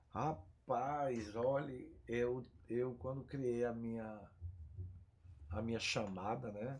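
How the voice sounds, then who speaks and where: Audible room echo surrounds a man's medium-pitched voice with fairly even intonation. He talks at a very slow pace with long, frequent pauses. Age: 60s. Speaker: pest control business owner. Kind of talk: podcast interview. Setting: studio.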